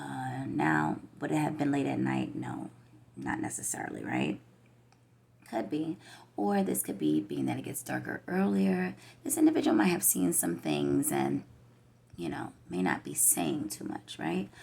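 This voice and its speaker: The speaker, with an American accent, goes at a fairly slow pace and takes long, frequent pauses. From New York. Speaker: tarot reader. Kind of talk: tarot reading monologue. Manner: slow, hesitant with fillers.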